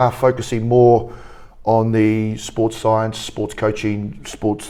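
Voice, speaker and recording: A man speaks with a New Zealand accent at a moderate pace. His voice is fairly low in pitch, with a dark, mellow tone. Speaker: rugby academy coach. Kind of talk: interview.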